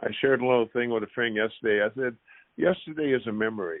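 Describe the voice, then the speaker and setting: The man's voice sits at a medium pitch. He has a plain, everyday voice, and his pitch varies in an ordinary way. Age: 60s. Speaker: former pro basketball player. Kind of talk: podcast interview.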